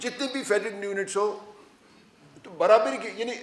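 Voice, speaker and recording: There is noticeable background noise behind a man's high-pitched voice. His intonation is fairly even. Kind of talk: public speech at a press club.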